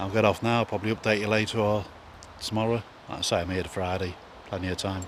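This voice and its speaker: The speaker goes at a very fast pace in a monotone, flat delivery, broken by long, frequent pauses. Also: man, fairly low pitch for a man. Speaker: angler vlogger. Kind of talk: casual vlog. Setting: outdoors.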